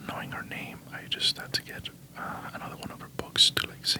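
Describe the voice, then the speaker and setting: Someone whispers at a moderate pace in a Spanish accent, with noticeable background noise behind. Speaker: ASMR creator. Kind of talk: ASMR book haul. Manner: whispering; halting.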